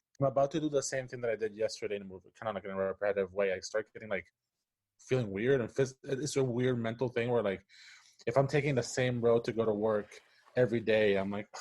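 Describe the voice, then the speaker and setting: Very fast speech from a man with a Spanish accent, medium pitch and fairly even intonation. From Puerto Rico. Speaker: animator and story writer. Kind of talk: casual interview chat. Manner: halting, many false starts.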